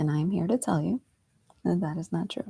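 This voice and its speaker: A woman speaks at a very deep, low pitch with a dark, mellow tone. Her voice is somewhat breathy, with a dry, close sound and no echo. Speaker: meditation teacher and coach. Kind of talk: guided meditation talk, live stream. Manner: unscripted, casual.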